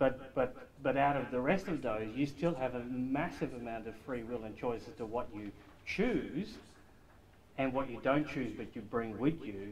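A man speaks at a moderate pace, his pitch varying in an ordinary way, with light background noise behind him. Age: 50s. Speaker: study group member. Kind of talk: group discussion. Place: meeting room. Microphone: camera far.

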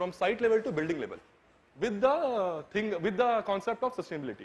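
At a fairly quick pace, a man with a high pitch talks with lively intonation. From India. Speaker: architecture student; presenter. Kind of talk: presentation. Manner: halting. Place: hall.

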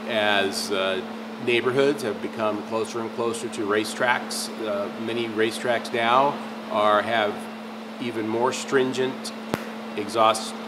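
The speech moves at a fairly slow pace while loud background noise plays beneath it. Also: man. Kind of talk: product explainer to camera. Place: workshop.

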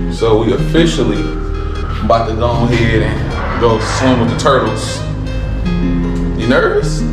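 A man at a moderate pace, with loud music in the background and audible room echo. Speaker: travel vlogger. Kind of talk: casual vlog chat. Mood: playful, teasing. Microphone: phone near.

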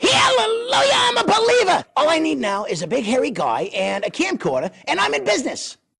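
Delivered in a put-on character voice, the fairly high-pitched speech moves at a fairly quick pace with hardly any pauses. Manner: wisecracking, hustling.

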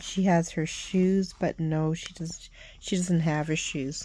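The voice moves at a very slow pace. The sound is dry with no echo, with light background noise. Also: woman. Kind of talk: casual show-and-tell vlog. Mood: enthusiastic, admiring. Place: home room. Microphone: phone near.

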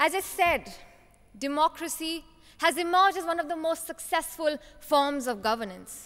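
The background is quiet. A woman speaks at an extremely high pitch. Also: ordinary pitch variation, moderate pace. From Himachal Pradesh, India. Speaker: youth parliament contest winner; speaker. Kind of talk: prepared competition speech; formal speech. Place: hall. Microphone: podium.

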